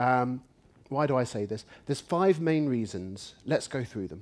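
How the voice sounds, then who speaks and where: A man with an English accent, lively intonation and a fairly slow pace. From England. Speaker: UX researcher and conference speaker. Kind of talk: conference talk.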